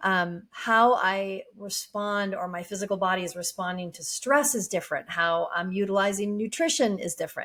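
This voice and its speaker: A woman's medium-pitched voice moves at a moderate pace with ordinary pitch variation, on a very clean recording with a silent background. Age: 50s. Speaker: life coach. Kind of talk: casual monologue. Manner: relaxed, hesitant with fillers.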